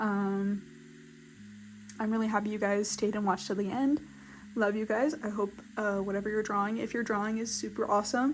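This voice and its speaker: This woman has a medium pitch and talks at a fairly quick pace. Long, frequent pauses break up her speech. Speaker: artist YouTuber. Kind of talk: casual sketchbook tour chat. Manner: fast; animated.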